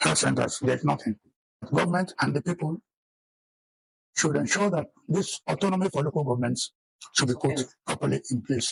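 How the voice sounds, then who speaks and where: In a Nigerian accent, a man speaks at a moderate pace, recorded with a dry, close sound and no echo. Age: 80s+. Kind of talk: interview answer.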